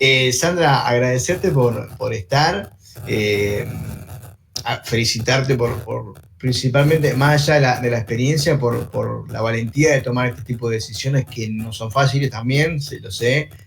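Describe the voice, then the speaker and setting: A man with a strong Uruguayan accent speaks at a fairly slow pace and medium pitch, with ordinary pitch variation. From Uruguay, interior. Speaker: online show host. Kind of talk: interview. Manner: halting, repetitive.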